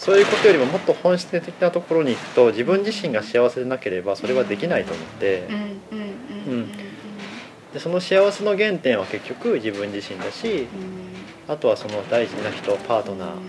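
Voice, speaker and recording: Over music in the background, a man speaks at a fairly quick pace with very wide pitch swings. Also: medium pitch for a man. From Aichi, Japan. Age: 30s. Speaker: cafe owner. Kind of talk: casual interview.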